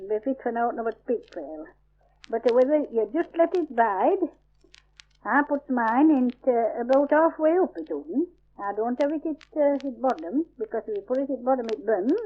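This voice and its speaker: The delivery has lively intonation and a moderate pace. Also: woman, high pitch for a woman. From Yorkshire, England. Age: 70s. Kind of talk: dialect survey recording, describing a recipe. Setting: old field recording. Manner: casual, conversational.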